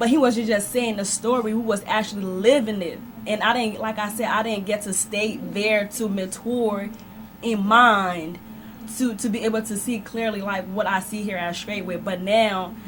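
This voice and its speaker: A woman with a fairly high pitch speaks at a moderate pace with fairly even intonation, amid noticeable background noise and audible room echo. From Liberia. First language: not English. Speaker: church member guest. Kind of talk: radio interview testimony.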